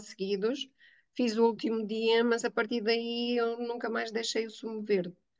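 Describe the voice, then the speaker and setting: A woman at a fairly slow pace. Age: 60s. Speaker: teacher giving a testimonial. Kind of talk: testimony interview. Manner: hesitant, many fillers.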